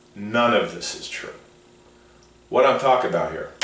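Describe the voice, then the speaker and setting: Noticeable background noise and audible room echo surround this man as he talks. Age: 60s. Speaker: motivational speaker. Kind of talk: radio show monologue.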